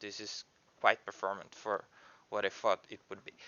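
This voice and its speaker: Here a man speaks at a moderate pace. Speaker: indie game developer. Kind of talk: screen-recorded coding tutorial. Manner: halting, many fillers and restarts.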